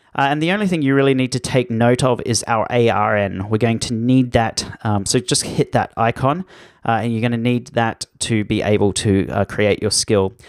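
In an Australian accent, a man speaks at a moderate pace and medium pitch with ordinary pitch variation and hardly any pauses, the sound dry and close with no echo. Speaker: online course instructor. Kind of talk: tutorial.

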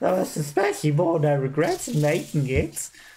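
A man speaks in a put-on character voice. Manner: ingratiating, eager.

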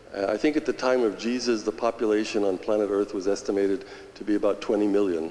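A man with a fairly low voice talks at a very fast pace. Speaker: audience member. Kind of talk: audience question. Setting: church with audience. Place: church.

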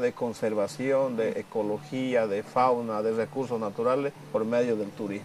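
A man speaks with a Bolivian accent at a fairly slow pace. Light background noise sits behind him. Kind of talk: documentary interview. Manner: halting. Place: home room. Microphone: lapel.

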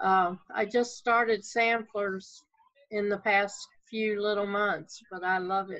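Against a quiet background, a woman with a Southern US accent talks at a very slow pace with fairly even intonation. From US South. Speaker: hobby stitcher. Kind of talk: casual chat. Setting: video call. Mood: relaxed, friendly. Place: home room. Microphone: video call.

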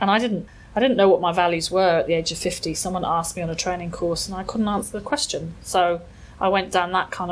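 In an English accent, a woman with a fairly low pitch talks at a very fast pace. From England. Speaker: mindfulness and well-being expert. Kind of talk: interview.

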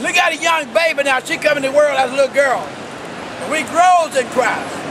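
A man speaks in an extremely high voice at a moderate pace. Noticeable background noise sits behind him. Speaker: street preacher. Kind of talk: street preaching sermon. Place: street. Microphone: phone near.

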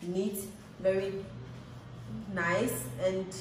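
With light background noise and audible room echo, a woman speaks at a fairly low pitch. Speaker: travel vlogger. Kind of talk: casual vlog chat. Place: home room. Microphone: phone near.

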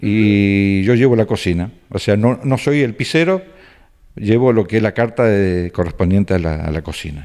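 With lively intonation and a dark, mellow tone, a man speaks fairly low at a moderate pace against a quiet background. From Argentina, Rafaela (Santa Fe); Santa Fe, Argentina. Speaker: cook, emigrant. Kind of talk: interview. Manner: hesitant, many fillers. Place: home room. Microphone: handheld.

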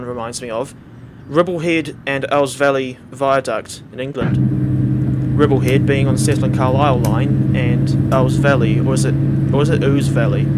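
A man with a New Zealand accent, over noticeable background noise. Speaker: gaming YouTuber. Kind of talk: gameplay commentary. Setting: home recording. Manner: casual, halting.

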